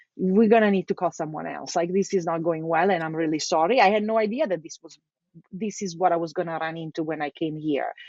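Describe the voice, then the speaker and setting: With an Italian accent, a woman talks at a very fast pace and a fairly low pitch. Her loudness swings widely. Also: ordinary pitch variation. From Italy, Milan. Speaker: localization executive. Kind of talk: casual interview chat. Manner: talkative.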